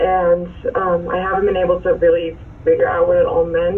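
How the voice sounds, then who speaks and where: Noticeable background noise and audible room echo around a woman at a moderate pace. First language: Dutch. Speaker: defendant. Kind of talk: court hearing.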